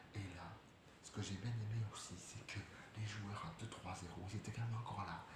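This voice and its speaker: Soft-spoken, a man talks at a fairly quick pace in a fairly low, monotone, flat voice. Room echo is audible. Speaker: football YouTuber. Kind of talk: match debrief vlog. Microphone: quiet, need to turn up volume.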